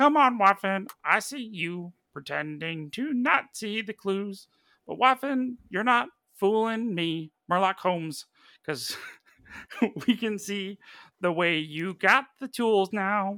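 A put-on character voice at middle pitch and a fairly slow pace, in a very clean recording with a silent background. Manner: playful, teasing.

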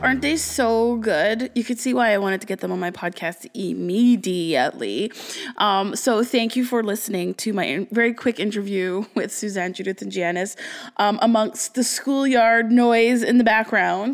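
A woman with a fairly high pitch talks at a moderate pace and shows ordinary pitch variation. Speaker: podcast host. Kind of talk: casual chat. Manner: animated.

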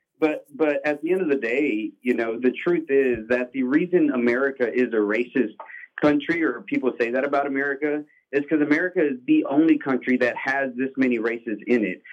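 Using a normal speaking voice, a man talks fairly quickly at a fairly high pitch with ordinary pitch variation. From Mexican-American. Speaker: caller. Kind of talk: casual chat. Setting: phone call.

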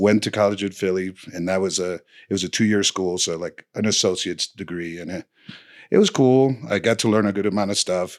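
A man speaks at a fairly quick pace with a fairly low pitch and fairly even intonation, in a Spanish accent. The recording is very clean with a silent background. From Dominican Republic, later New Jersey. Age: 40s. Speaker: snowboard coach. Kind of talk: casual chat. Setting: studio.

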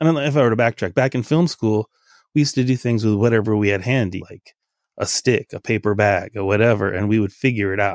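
A man speaks at a very fast pace with an American accent, medium in pitch with ordinary pitch variation. The recording is very clean with a silent background and a dry, close sound with no echo. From Los Angeles, US West Coast. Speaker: photo booth business owner. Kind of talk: interview.

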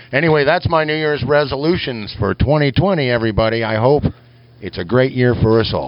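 A voice with an American accent at a moderate pace, with noticeable background noise. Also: man. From Kansas. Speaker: lure maker and show correspondent. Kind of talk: recorded voice message. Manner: folksy, jokey.

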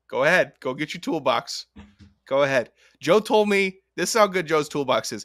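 A loud, shouting man with a high voice, very wide pitch swings and a moderate pace, on a very clean recording with a silent background. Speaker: college football podcast co-host, former college football player. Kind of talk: casual sports chat. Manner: loud, yelling.

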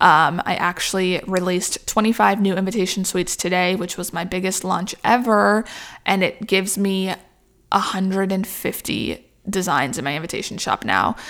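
Very clean recording, silent background. A woman with a normal speaking voice talks at a moderate pace and medium pitch, her intonation fairly even. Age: 20s. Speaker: small business owner, wedding invitation designer. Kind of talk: casual monologue podcast. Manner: casual, filler-heavy with frequent laughs.

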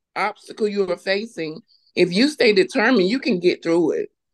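With a normal speaking voice, a woman talks at a medium pitch with ordinary pitch variation, the sound dry and close with no echo. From North Carolina, US South. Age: 40s. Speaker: clothing business owner. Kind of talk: personal testimony in interview.

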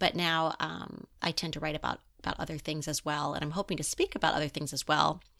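A woman with an American accent talks very fast with hardly any pauses, in a very deep, low pitch and a bright, sharp tone, her intonation flat and monotone, on a very clean recording with a silent background. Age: 50s. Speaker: writer. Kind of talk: interview.

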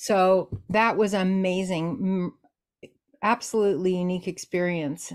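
This woman's pitch sits at a medium level. She speaks at a very slow pace. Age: 60s. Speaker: Dianic priestess and author. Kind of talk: casual interview conversation.

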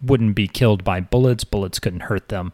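An ordinary speaking voice with fairly even intonation is captured in a very clean recording with a silent background and a dry, close sound with no echo. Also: man. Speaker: podcast host and academic. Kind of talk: casual interview chat.

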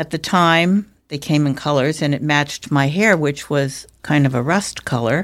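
On a very clean recording with a silent background, a woman with a very deep, low pitch speaks at a moderate pace with hardly any pauses and ordinary pitch variation. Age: 70s. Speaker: speech language pathologist. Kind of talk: interview conversation.

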